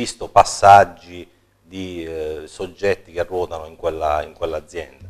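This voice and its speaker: His pitch shifts in an ordinary way. The man speaks very slowly. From Apulia. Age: 40s. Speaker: local politician and accountant; guest. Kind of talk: political interview. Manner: halting, many repetitions and fillers. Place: studio. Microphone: lapel.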